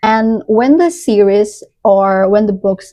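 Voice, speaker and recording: With an Indonesian accent, a woman talks at a very slow pace in a fairly high pitch, her tone dark and mellow. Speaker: book reviewer. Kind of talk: casual review monologue. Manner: halting, with frequent restarts.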